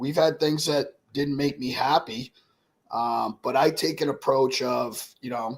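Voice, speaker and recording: An ordinary speaking voice from a man, fairly high in pitch, with fairly even intonation at a fairly slow pace. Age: 60s. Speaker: cigar and spirits brand owner. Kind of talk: casual interview chat. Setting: live stream.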